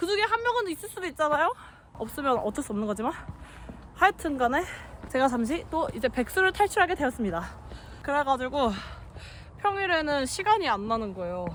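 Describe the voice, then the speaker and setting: A woman with a high pitch talks at a fairly quick pace, making very wide pitch swings and long, frequent pauses against noticeable background noise. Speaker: hiking vlogger. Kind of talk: casual vlog narration while hiking. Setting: outdoors on a mountain trail.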